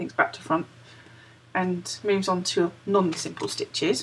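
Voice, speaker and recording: A woman with a British accent. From United Kingdom. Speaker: crochet vlogger. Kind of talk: casual talk to camera. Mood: cheerful, chatty. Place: home room. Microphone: webcam.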